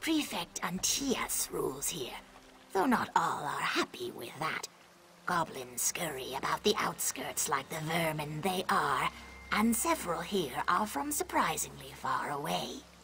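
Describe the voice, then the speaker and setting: A put-on character voice at a middle pitch and fairly slow pace, with clear background noise. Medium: video game. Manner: measured, proverbial.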